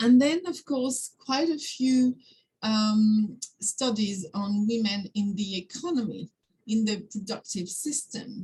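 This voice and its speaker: A woman's very slow, somewhat breathy French-accented voice, fairly high in pitch, dark and mellow in tone, with ordinary pitch variation. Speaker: academic discussant. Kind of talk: seminar discussion. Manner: halting, many fillers.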